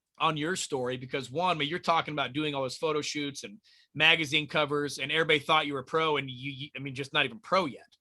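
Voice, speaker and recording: A man speaks at a very fast pace in a fairly high pitch with a bright, sharp tone and fairly even intonation, in a very clean recording with a silent background. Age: 40s. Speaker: podcast host and amateur bodybuilder. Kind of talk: podcast interview. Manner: halting, repeats words.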